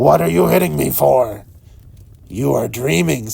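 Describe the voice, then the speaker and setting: Putting on a character voice, a man growls out raspy words at a very deep, low pitch and a moderate pace. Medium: read story. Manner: grumbling, quarrelsome.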